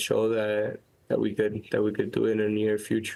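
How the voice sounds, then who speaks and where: A man speaks with a Miami accent at a moderate pace. His pitch sits fairly low. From Miami, Florida. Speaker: professional soccer player. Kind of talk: casual chat. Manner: halting, many repetitions.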